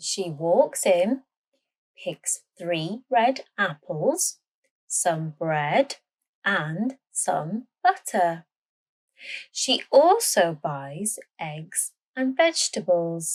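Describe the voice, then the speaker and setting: In a British accent, a woman of medium pitch speaks very slowly with lively intonation and long, frequent pauses. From Britain. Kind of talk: language-learning story narration. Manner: slow, clear.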